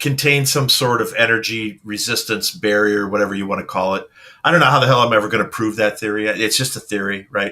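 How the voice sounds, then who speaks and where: A man speaks at a very fast pace in a medium pitch. His tone is bright and sharp, with ordinary pitch variation. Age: 50s. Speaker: paranormal radio host. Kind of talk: casual interview chat.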